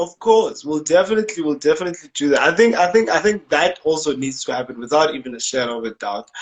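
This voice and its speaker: A man speaks at a very fast pace in a fairly high pitch. His intonation is lively. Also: hardly any pauses. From South Africa. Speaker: interviewer, former radio presenter. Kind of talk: casual chat. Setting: Instagram live video call.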